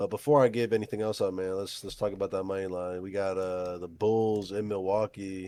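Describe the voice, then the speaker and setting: A man's fairly low voice with fairly even intonation on a very clean recording with a silent background. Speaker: sports betting podcast host. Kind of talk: casual chat. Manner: fast.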